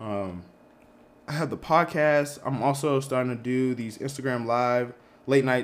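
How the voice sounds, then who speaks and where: A man's unremarkable speaking voice with an American accent, at a medium pitch and fairly slow pace, with fairly even intonation. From Boston area, Massachusetts. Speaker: PhD student. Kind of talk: casual chat.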